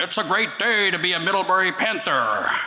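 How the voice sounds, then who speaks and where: A put-on character voice, raspy and middle in pitch, moves at a fairly quick pace. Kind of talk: shouting. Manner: bellowing, enthusiastic.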